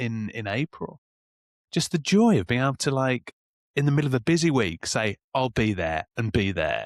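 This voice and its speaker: Recorded very cleanly with a silent background and a dry, close sound with no echo, this voice with a Birmingham accent moves through very wide pitch swings. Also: man. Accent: Birmingham (Brummie). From Birmingham, England. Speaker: sober men podcast co-host. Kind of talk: casual chat.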